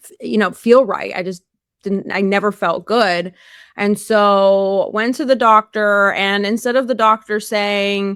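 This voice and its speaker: A woman with an ordinary speaking voice talks at a fairly slow pace and medium pitch, with fairly even intonation and big swings in loudness. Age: 40s. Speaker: carnivore diet influencer and powerlifter. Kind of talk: interview testimony. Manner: casual with many fillers.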